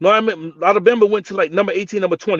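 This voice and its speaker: A man with a New Jersey accent speaks loudly at a high pitch. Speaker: sports podcast host. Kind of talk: heated debate. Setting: live stream. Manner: loud, animated.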